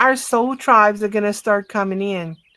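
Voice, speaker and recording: Her tone is bright and sharp at a medium pitch. The woman speaks at a fairly slow pace. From south Louisiana, Cajun area near Lafayette. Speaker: livestream guest, spiritual chat. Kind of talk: casual chat. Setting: live stream video call.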